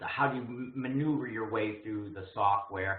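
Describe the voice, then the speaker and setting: A man with a fairly low voice and ordinary pitch variation talks in a room with audible echo. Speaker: program director and instructor. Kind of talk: webinar presentation. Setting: online webinar. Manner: fast.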